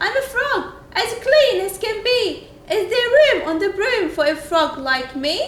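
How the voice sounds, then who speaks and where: Using a put-on character voice, a woman speaks croaky and at an extremely high pitch at a fairly slow pace, with slight echo and light background noise. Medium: read story.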